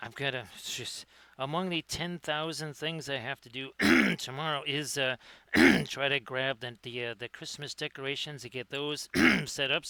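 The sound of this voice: A man's put-on character voice, raspy and hoarse, fairly high in pitch, at a moderate pace with fairly even intonation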